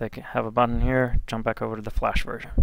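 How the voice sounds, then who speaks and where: A man with a normal speaking voice, medium pitch and fairly even intonation at a fairly quick pace, on a very clean recording with a silent background. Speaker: e-learning developer. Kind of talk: tutorial. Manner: casual with fillers.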